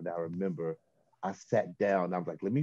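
With an American accent, a man talks at a moderate pace in a dark, mellow tone with fairly even intonation, recorded dry with no echo against a quiet background. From US South, Chattanooga, Tennessee. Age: 50s. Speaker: vocalist and vocal coach. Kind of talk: casual interview. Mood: relaxed storytelling. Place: studio. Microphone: video call.

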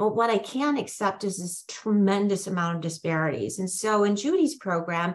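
At a moderate pace, a woman talks at a medium pitch in an ordinary speaking voice. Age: 60s. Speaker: professor and applied demographer. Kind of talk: webinar panel discussion. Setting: video call. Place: home room. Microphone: video call.

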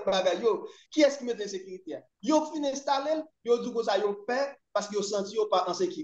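Very fast, lively-toned speech with audible room echo over a quiet background. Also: man, extremely high pitch for a man. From Haiti. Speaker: commentator on Haitian politics. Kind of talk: political discussion. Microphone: video call.

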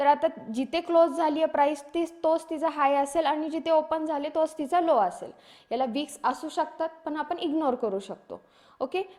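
With a high pitch and a dark, mellow tone, a woman speaks using ordinary pitch variation. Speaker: stock market trading instructor. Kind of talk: tutorial. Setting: screen-share video lesson with slides and charts.

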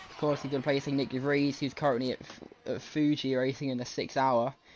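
Music in the background behind a man's fairly quick pace. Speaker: sports commentator. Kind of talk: live sports commentary. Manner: conversational, loosely improvised, with filler 'um's; animated, quick-reacting to on-track action.

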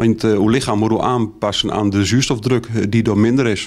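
Set against a quiet background, the voice has a dark, mellow tone and fairly even intonation. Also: man. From Netherlands, Achterhoek (Aalten, Gelderland); Gelderland. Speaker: mountaineer and police academy instructor; police academy instructor. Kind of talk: interview. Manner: hesitant, many filler sounds. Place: shop. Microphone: handheld.

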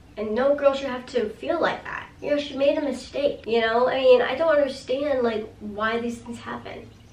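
A woman speaks in a high, animated voice at a moderate pace with hardly any pauses. Her loudness swings widely, and the room echo is audible. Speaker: YouTuber reviewing TV episodes. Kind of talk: casual video review. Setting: home video recording. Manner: animated, gesturing with hands. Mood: sympathetic, animated. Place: home room.

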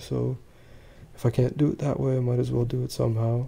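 A man's medium-pitched voice, somewhat breathy, with a dark, mellow tone. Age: 20s. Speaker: vlogger and small business owner. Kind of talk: personal monologue vlog. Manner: halting.

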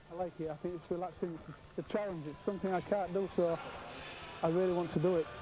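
Against noticeable background noise, a man with a high pitch speaks at a fairly quick pace in a monotone, flat intonation, the sound dry with no echo. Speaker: professional boxer. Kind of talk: interview clip. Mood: relaxed, reflective. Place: open country.

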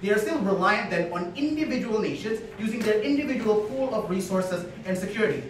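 Lively and high-pitched, a man talks at a very fast pace. Light background noise and audible room echo surround him. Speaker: debater. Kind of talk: competitive debate speech. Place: classroom. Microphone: camera far.

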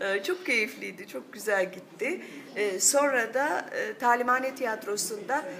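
Light background noise sits behind a woman. She speaks at a very slow pace with lively intonation. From Turkey. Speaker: voice actor. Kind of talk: interview answer. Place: cafe.

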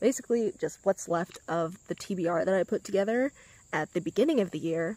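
At a moderate pace, a woman talks with a dry sound that has no echo. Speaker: booktuber; book vlogger. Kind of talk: casual vlog talk. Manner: unenthused. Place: garden. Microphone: phone near.

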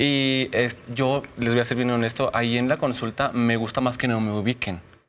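A man talks at a moderate pace with monotone, flat intonation. His loudness stays very even throughout. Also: medium pitch for a man. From Zacatecas, Mexico (Fresnillo); Zacatecas, Mexico. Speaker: general practitioner doctor and social media personality; guest. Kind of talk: casual interview chat. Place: studio. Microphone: lapel.

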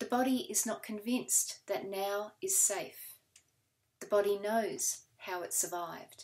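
The voice carries vocal fry at a fairly slow pace. Its pitch varies in an ordinary way. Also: woman, medium pitch for a woman. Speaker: poet. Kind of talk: poet reading her own confessional poem sequence aloud. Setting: recorded reading video. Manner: measured, deliberate pacing with weighted pauses between fragments. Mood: calm, measured, solemn. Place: home room. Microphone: webcam.

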